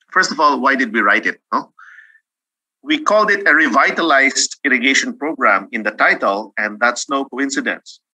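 Over a quiet background, a bright, sharp voice moves at a moderate pace with lively intonation. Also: man. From Philippines. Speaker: agricultural economist; presenter. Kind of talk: webinar presentation. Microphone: video call.

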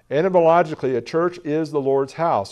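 At a moderate pace, a man talks in a dark, mellow tone with ordinary pitch variation.

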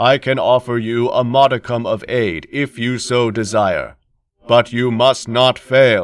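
A man uses a put-on character voice. He speaks at medium pitch and a fairly slow pace. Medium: read story. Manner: flat, unemotional.

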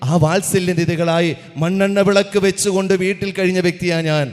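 The man's pitch is high. Noticeable background noise is present. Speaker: public speaker. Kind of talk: speech. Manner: animated.

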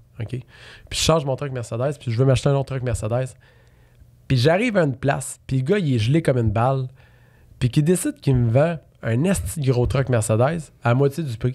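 A man at a fairly quick pace with long, frequent pauses, medium in pitch, dark and mellow in tone, somewhat breathy, over a quiet background. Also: ordinary pitch variation. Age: 30s. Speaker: real estate investor; podcast guest. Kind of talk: casual interview. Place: studio. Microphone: studio mic.

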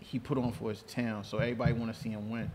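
A man with a New York accent, medium in pitch, monotone and flat in intonation, at a moderate pace. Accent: New York City. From New York City, Queens. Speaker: show producer and guest co-host. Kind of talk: casual chat.

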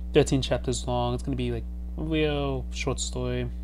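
Over noticeable background noise, a man with a very deep, low pitch speaks at a moderate pace. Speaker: video creator. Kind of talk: casual vlog chat. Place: home room. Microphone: headset.

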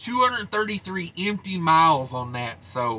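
The man's voice is high-pitched and his pace is moderate. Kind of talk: casual vlog chat. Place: car. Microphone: webcam.

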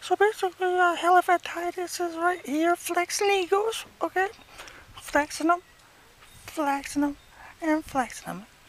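This cartoonish character voice sits at an extremely high pitch and breaks up with long, frequent pauses. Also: moderate pace. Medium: puppet. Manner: rambling, self-absorbed.

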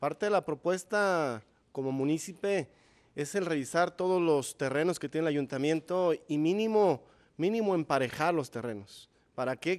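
A fairly slow delivery with ordinary pitch variation over a quiet background. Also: man. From Zapopan, Jalisco, Mexico; Jalisco, Mexico. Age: 30s. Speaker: mayoral candidate, primary school teacher; candidate, primary school teacher. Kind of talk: political debate. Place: studio. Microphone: podium.

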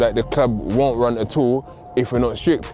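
A man's dry voice with no echo, clear music in the background. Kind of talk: interview answer. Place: open country.

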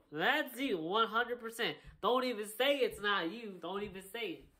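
Over a quiet background, a man with a bright, sharp tone projects his raised voice at a moderate pace with lively intonation. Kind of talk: comedic acted dialogue.

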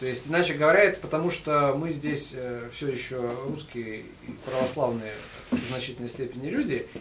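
A man speaks at a moderate pace in a fairly high voice with ordinary pitch variation, noticeable background noise behind him. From Russia. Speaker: lecturer, book compiler; lecturer. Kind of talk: public lecture with Q&A. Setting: bookstore event with live audience. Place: shop. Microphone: camera far.

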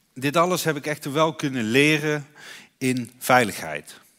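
A man speaks at a very slow pace. The recording is very clean, with a silent background. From Netherlands, North Brabant. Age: 30s. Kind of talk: conference speech. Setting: stage with audience. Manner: halting.

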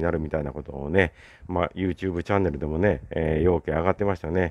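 Here a man speaks with a very deep, low pitch. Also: quiet background. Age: 60s. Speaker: YouTuber. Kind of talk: solo vlog monologue. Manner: casual, filler-heavy.

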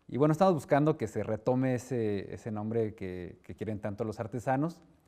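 Against a quiet background, a man with a dark, mellow tone speaks at a fairly quick pace with ordinary pitch variation. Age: 30s. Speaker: director of a state crafts institute; interview guest. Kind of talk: interview. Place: studio. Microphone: lapel.

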